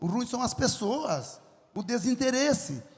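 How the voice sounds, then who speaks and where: At a moderate pace, a man talks in an animated tone with an extremely high pitch, and room echo is audible. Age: 70s. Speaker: farmer and entrepreneur. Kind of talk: lecture with audience Q&A.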